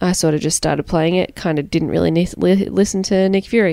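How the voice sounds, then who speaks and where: A woman speaks with an Australian accent in a fairly low pitch. The recording is very clean, with a silent background. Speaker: returning podcast guest. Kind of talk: casual chat.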